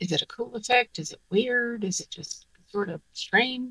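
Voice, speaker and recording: A woman's bright, sharp tone. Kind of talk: tutorial. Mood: pleased, upbeat. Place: workshop.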